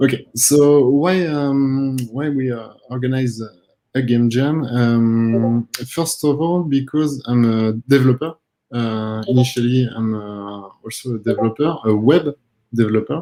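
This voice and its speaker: This man has a medium-pitched voice with a dark, mellow tone. He moves at a fairly slow pace with ordinary pitch variation. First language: not English. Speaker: game jam organizer. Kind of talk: panel discussion. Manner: halting.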